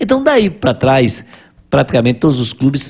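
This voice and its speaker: Very wide pitch swings run through the somewhat breathy voice of this man. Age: 50s. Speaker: businessman, writer and carnival enthusiast. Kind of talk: casual interview chat, storytelling. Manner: halting with repeated words.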